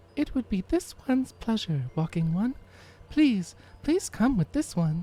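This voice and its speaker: At a moderate pace, a put-on character voice with fairly high pitch swings very widely up and down. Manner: polite, deferential, speaks of self in third person.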